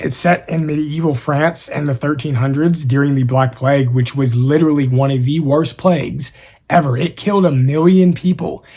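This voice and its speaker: A somewhat breathy man's voice, fairly high in pitch, with ordinary pitch variation and hardly any pauses. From East Texas. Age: 20s. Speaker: YouTuber and author. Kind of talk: casual Q&A.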